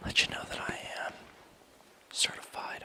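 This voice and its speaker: A man whispering at a moderate pace in a relaxed tone, with noticeable background noise. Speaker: ASMR artist. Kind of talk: ASMR massage roleplay, personal attention. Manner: soft-spoken, relaxed.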